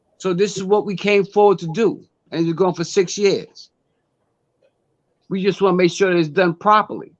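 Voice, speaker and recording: Over a quiet background, a high-pitched man keeps a moderate pace and fairly even intonation, with long, frequent pauses. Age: 60s. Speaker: community organization elder. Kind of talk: interview.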